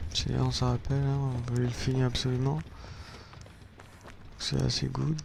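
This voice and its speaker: A man talks at a moderate pace with long, frequent pauses and very even loudness. Room echo is audible. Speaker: gaming youtuber. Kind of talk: gameplay commentary.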